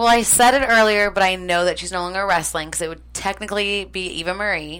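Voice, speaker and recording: Noticeable background noise accompanies speech that rushes along at a very fast pace, its pitch varying in an ordinary way. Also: woman. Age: 20s. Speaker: first-time podcast guest. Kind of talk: casual chat. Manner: animated.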